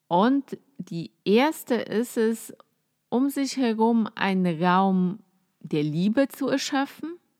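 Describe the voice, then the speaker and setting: A woman with a Polish accent speaks very slowly in a relaxed tone, her pitch fairly high and her intonation lively. The sound is dry and close, with no echo. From Poland. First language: Polish (speaking German). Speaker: podcast host, psychotherapist. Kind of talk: casual solo talk on spirituality. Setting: at home, cosy. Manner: relaxed, with frequent filler sounds.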